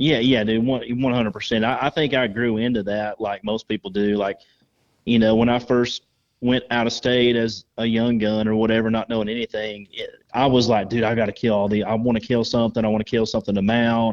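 A man's medium-pitched voice with a Southern US accent, fairly quick, in monotone, flat intonation. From North Georgia, US South. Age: 30s. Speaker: waterfowl hunter. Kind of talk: casual chat.

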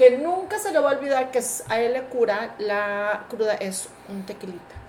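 An animated tone at a moderate pace, over noticeable background noise. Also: woman. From Mexico. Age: 40s. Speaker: podcast co-host. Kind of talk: casual chat.

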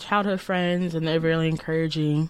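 In a very clean recording with a silent background, a woman with an American accent and a normal speaking voice talks at a fairly low pitch with ordinary pitch variation. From Chicago south suburbs, Illinois. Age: 20s. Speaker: college student. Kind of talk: testimony.

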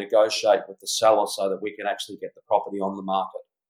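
A man is speaking. He has an Australian accent. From Australia, rural background. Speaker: real estate agent and auctioneer. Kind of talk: interview.

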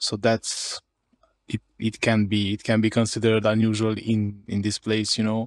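Recorded dry and close with no echo, a man with a Hungarian accent speaks at a moderate pace in a medium pitch. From Romania, Harghita county (Hungarian-speaking). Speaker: indie developer, entrepreneur. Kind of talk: interview. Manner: repeats words, halting.

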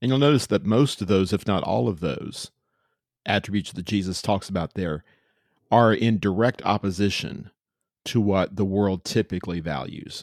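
With an American accent, a man uses a plain, everyday voice at a fairly low pitch and moderate pace, with ordinary pitch variation, in a very clean recording with a silent background and a dry, close sound with no echo. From Central Texas (Austin). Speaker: preacher. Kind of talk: casual interview chat.

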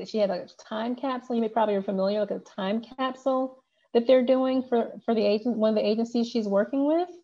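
A woman speaks at a very fast pace. Her voice is fairly high, with ordinary pitch variation. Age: 40s. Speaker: law enforcement public information officer. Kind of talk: interview.

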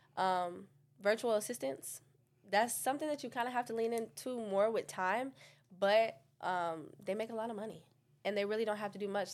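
A woman with an American accent uses a plain, everyday voice at a fairly quick pace with ordinary pitch variation, in a very clean recording with a silent background. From New York, Staten Island. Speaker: digital marketing business owner. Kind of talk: casual interview.

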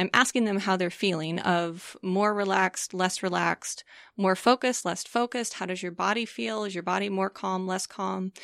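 At a moderate pace, a woman with medium pitch, ordinary pitch variation and an unremarkable speaking voice is heard in a very clean recording with a silent background and a dry, close sound with no echo. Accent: American. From US Midwest, St. Louis, Missouri. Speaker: neurofeedback practitioner. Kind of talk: interview.

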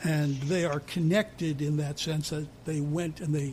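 A man talks at a fairly slow pace. His pitch sits fairly high. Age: 60s. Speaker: music podcast co-host. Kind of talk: casual chat. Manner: animated.

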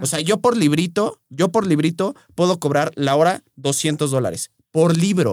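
A man with a normal speaking voice talks at a fairly high pitch and fairly slow pace, with ordinary pitch variation, hardly any pauses and a dry, close sound with no echo. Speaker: nutritionist and podcast host. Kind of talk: casual chat.

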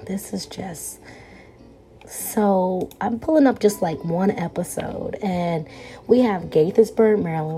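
A dark, mellow, somewhat breathy tone with ordinary pitch variation. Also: woman. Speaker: podcast host. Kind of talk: casual solo podcast monologue. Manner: casual, chatty, informal.

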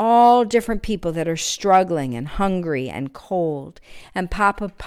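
Plain reading aloud, its intonation lively.

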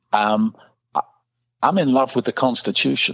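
With a London accent, a man talks at a moderate pace with ordinary pitch variation, recorded dry and close with no echo on a very clean, silent background. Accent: British English, London. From London, England. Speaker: political candidate, former soccer player. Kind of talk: interview conversation.

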